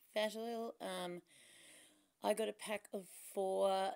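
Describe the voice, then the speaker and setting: A woman speaks at a fairly slow pace in an Australian accent. The background is quiet. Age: 40s. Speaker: beauty vlogger; beauty haul vlogger. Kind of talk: product review vlog; casual vlog chat. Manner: casual, chatty with fillers. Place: home room. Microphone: phone near.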